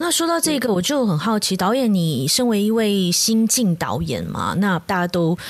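A woman speaks fairly quickly with a Malaysian accent and lively intonation. Noticeable background noise runs behind her. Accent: Malaysian Mandarin. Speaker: podcast host. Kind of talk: casual chat.

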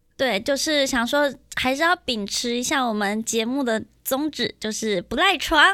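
Raising and projecting her high, bright, sharp voice, a woman with a Taiwanese accent speaks at a fairly slow pace with lively intonation. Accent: Taiwanese Mandarin. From Miaoli, Taiwan. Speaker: podcast host. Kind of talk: casual chat. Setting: studio.

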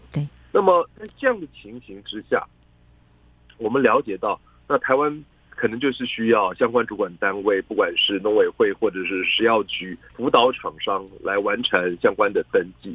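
With big swings in loudness, a man speaks at a moderate pace. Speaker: associate professor of international trade, political analyst. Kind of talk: radio interview, expert analysis. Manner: measured, formal with frequent fillers.

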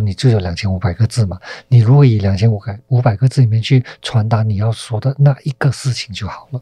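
This man's voice sits at a medium pitch and has a dark, mellow tone with a somewhat breathy quality. He talks at a fairly quick pace with ordinary pitch variation, and the sound is dry and close with no echo. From Malaysia. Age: 40s. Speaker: film director. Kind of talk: interview.

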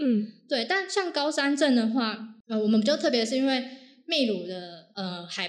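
A woman with lively intonation, with audible room echo around her. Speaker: hiking enthusiast sharing overseas climbing experience. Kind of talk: casual interview chat.

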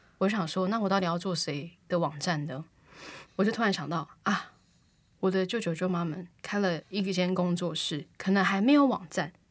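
In a very clean recording with a silent background, a woman speaks at a moderate pace, medium pitch, and ordinary pitch variation. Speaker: podcast co-host and aspiring singer. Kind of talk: casual chat.

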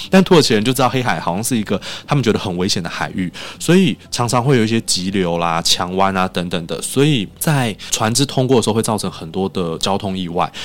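Speaking at a fairly quick pace, a man uses a normal speaking voice. His pitch sits fairly low, and his intonation is lively. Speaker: Turkey culture association head. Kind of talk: interview.

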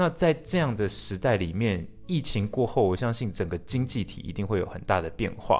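This man talks at a moderate pace in a fairly low pitch, with an unremarkable speaking voice. The recording is very clean, with a silent background. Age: 20s. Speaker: podcast host. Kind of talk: casual interview chat.

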